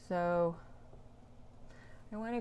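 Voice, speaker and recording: Soft-spoken and mumbling, a woman talks at a medium pitch with fairly even intonation. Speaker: painter and art teacher. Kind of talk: live painting demo. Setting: Instagram live stream. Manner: quiet, soft-spoken.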